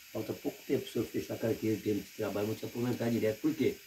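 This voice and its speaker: A man's voice with fairly even intonation. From Paraná, Brazil. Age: 60s. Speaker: retired rural worker. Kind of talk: interview.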